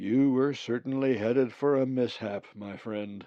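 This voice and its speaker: Putting on a booming character voice, a man speaks at a medium pitch and a moderate pace. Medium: read story. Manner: formal, stiff.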